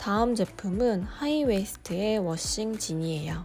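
Over background music, a woman speaks at a very slow pace with lively intonation. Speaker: fashion haul vlogger. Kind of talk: product review narration.

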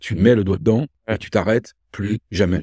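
Over a quiet background, a man talks with a fairly low pitch and a dark, mellow, somewhat breathy tone. His intonation is fairly even, and the sound is dry with no echo. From France, Loire (Rive-de-Gier, between Saint-Étienne and Lyon); France. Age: 50s. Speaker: entrepreneur; guest. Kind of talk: casual interview conversation. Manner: hesitant, repeated words. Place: home room.

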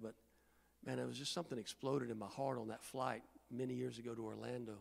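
Racing at a very fast pace, a man with an American accent speaks at medium pitch with ordinary pitch variation. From Indiana, US Midwest. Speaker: guest preacher. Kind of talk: sermon. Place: church. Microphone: handheld.

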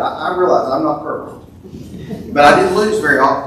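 A man speaks with ordinary pitch variation. There is audible room echo and light background noise. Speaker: preacher at a funeral. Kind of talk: eulogy. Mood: warm, lightly humorous. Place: church.

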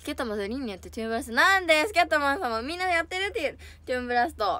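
Animated and bright, a woman's high voice has a sharp tone and very wide pitch swings, with dry sound and no echo. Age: 20s. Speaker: idol livestreamer. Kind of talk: casual chat. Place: home room. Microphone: phone near.

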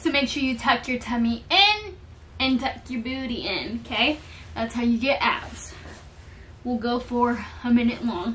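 At a fairly slow pace, a woman speaks in a high pitch with ordinary pitch variation over light background noise. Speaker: lifestyle vlogger. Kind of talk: casual vlog chat. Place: home room. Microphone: camera far.

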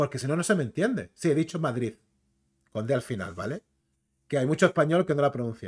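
Against a quiet background, a man with a fairly high pitch and vocal fry moves at a fairly quick pace, with very wide pitch swings and long, frequent pauses. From Canary Islands, Spain. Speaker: YouTuber, comics and film commentator; YouTuber, comics, film commentator. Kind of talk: casual commentary video; casual live-stream commentary. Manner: animated. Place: home room.

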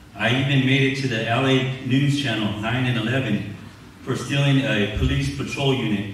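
Strong room echo and light background noise surround a man speaking in an American accent with fairly even intonation. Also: medium pitch for a man, moderate pace. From Southern California, Inland Empire; Southern California. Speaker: church member being baptized; candidate. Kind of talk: testimony. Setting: church service. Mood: earnest, confessional. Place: church.

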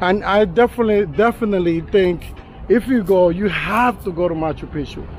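The recording is dry with no echo and has light background noise. A man talks in a high voice. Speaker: travel vlogger. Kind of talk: casual vlog chat. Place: street. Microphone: phone near.

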